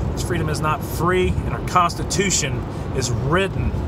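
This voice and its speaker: Loud background noise surrounds a man speaking at a fairly slow pace. The sound itself is dry, with no echo. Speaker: vlogger. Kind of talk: casual vlog chat. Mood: earnest, mildly exasperated. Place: car. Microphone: phone near.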